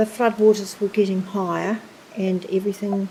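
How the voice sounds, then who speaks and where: The speaker has a New Zealand accent. Noticeable background noise runs underneath. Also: woman. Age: 80s+. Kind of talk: documentary interview, personal recollection.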